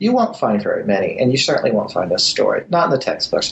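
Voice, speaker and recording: A man talks at a very fast pace, with noticeable noise in the background. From born in Germany to US military family. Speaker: history professor. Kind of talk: interview. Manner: halting.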